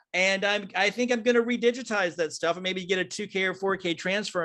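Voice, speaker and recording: A man's raised, projected voice with an American accent, high in pitch, at a fairly quick pace with hardly any pauses and ordinary pitch variation. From US South, Piedmont of North Carolina. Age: old. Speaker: filmmaker. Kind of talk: casual chat. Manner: animated; halting.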